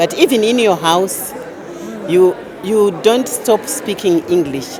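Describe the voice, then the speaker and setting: A woman speaks with a Zimbabwean accent, her intonation lively and her pace fairly slow. Crowd noise fills the background, and room echo is audible. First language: Shona. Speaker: event participant. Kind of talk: reflective testimony.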